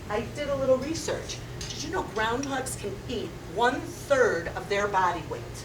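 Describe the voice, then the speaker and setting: Against noticeable background noise and audible room echo, a woman speaks at a high pitch with very wide pitch swings. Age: 60s. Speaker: comedian. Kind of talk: stand-up comedy performed seated. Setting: stage with audience. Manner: loud.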